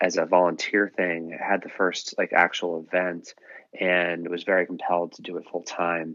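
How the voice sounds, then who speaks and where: A man with a very deep, low pitch speaks at a fairly slow pace in a monotone, flat intonation. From Massachusetts, US (Dover, near Boston). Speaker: nonprofit co-founder. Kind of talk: podcast interview.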